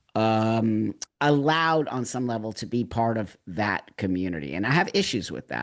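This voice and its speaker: With lively intonation, a man in an ordinary speaking voice talks at medium pitch and a moderate pace over a quiet background. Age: 60s. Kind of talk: casual chat.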